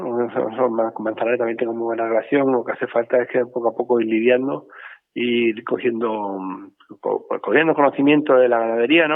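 A man speaks at a moderate pace. His pitch sits in the medium range. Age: 50s. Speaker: bull breeder. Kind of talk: interview. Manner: halting, many repetitions.

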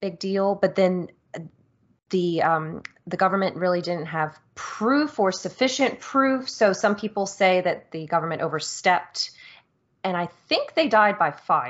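With an ordinary speaking voice, a woman of medium pitch speaks at a fairly slow pace and with lively intonation. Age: 30s. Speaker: video game podcast host. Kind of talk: casual chat.

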